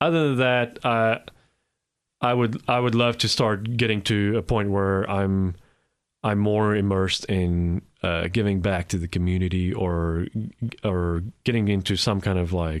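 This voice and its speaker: A man speaks at a fairly slow pace with ordinary pitch variation and very even loudness. The recording is very clean, with a silent background. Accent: South African. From South Africa. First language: Afrikaans. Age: 40s. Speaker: immigrant guest. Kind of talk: interview. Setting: studio. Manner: halting, repeats words.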